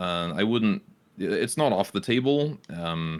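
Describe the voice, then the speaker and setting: The speaker has a British accent, heard on a very clean recording with a silent background. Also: man. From Britain. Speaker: Twitch streamer. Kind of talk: casual podcast interview. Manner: hesitant, many fillers.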